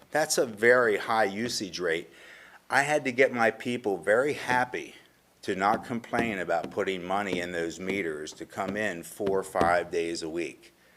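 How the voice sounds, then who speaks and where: A man with a fairly low pitch talks at a fairly slow pace with lively intonation. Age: 60s. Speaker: local business owner, public commenter. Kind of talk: public comment at council meeting. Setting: council meeting room. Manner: passionate.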